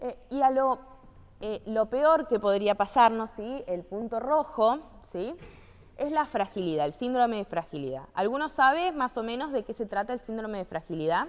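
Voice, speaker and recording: Moving at a moderate pace, a woman with a fairly high pitch speaks with very wide pitch swings. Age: 20s. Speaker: physical activity instructor. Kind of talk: training lecture. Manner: conversational, frequent checking questions.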